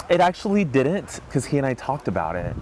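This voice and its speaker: Music plays behind a man with an American accent. His intonation is lively. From US South, North Carolina (Elizabeth City). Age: 30s. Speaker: charity cyclist sharing personal story. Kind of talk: personal testimony interview. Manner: halting, with fillers.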